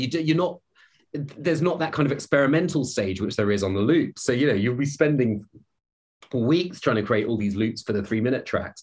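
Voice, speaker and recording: Very fast and somewhat breathy, a man's voice moves through very wide pitch swings. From Scotland, Glasgow. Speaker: film and video game composer. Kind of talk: casual interview chat. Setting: his studio.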